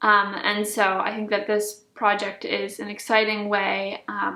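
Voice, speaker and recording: With a normal speaking voice, a woman talks at a moderate pace in a fairly high pitch and fairly even intonation. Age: young. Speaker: violinist. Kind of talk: interview.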